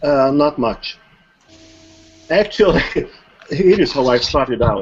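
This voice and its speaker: A man with a fairly high pitch and a non-native accent, music playing in the background. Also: lively intonation, fairly slow pace. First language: not English. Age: old. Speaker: online marketer. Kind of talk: interview. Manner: formal.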